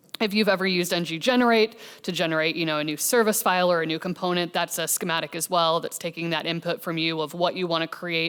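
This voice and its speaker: A woman speaks at a very fast pace with a Midwestern accent. Her pitch is fairly low. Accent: American Midwest. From US Midwest, Kansas City. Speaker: software engineer, conference speaker. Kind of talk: conference talk. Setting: stage with audience. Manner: casual, with fillers.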